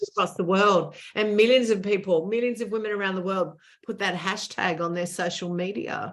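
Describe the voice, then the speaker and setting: A woman at medium pitch with an Australian accent and ordinary pitch variation. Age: 60s. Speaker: author and former TV presenter. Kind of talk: interview conversation.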